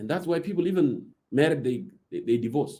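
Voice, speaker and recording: Talking at a very fast pace, a man with an African accent uses lively intonation, with vocal fry in his voice. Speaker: political commentator. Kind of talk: political talk in a live audio room. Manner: code-switching Arabic and English.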